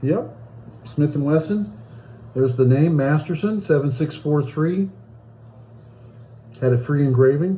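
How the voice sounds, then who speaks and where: The man's pitch is fairly high, his voice somewhat breathy with a dark, mellow tone and ordinary pitch variation. He goes at a fairly slow pace with long, frequent pauses. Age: 60s. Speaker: hobbyist video blogger. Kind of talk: casual unboxing video. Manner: casual, halting.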